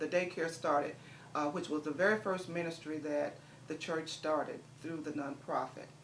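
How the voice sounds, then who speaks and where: Over noticeable background noise and audible room echo, a woman speaks at a fairly low pitch with fairly even intonation. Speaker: community nonprofit director. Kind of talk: interview. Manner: fast.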